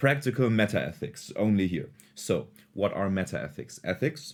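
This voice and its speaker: The recording is very clean, with a silent background. A man with a non-native accent speaks at a fairly low pitch with lively intonation. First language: not English. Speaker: philosophy video creator. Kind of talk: casual lecture.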